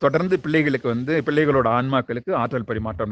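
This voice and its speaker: With ordinary pitch variation, a man talks in an ordinary speaking voice. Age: 40s. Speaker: spiritual teacher. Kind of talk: spiritual book discussion. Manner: casual.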